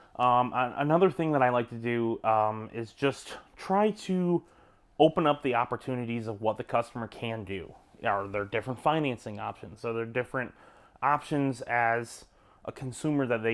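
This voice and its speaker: A man speaks at a medium pitch in a relaxed tone with ordinary pitch variation. The recording is very clean, with a silent background. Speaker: salesman. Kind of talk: casual advice talk. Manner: fast; relaxed, conversational with fillers.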